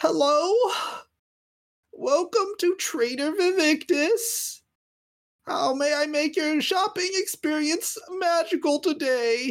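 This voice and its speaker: Using a put-on character voice at an extremely high pitch, a man talks at a fairly slow pace with long, frequent pauses. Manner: chirpy customer-service salesman.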